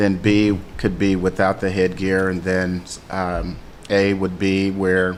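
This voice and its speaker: Audible room echo fills the space around a man's voice. He speaks at a very deep, low pitch and a fairly slow pace. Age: 60s. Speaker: Muay Thai gym owner and coach. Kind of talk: radio interview. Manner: halting, many fillers.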